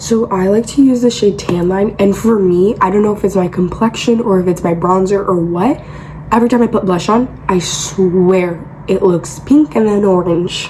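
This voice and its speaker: At a moderate pace and a very even loudness, the voice shows ordinary pitch variation over noticeable background noise. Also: woman, medium pitch for a woman. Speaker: beauty content creator. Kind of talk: makeup tutorial. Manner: casual, filler-heavy.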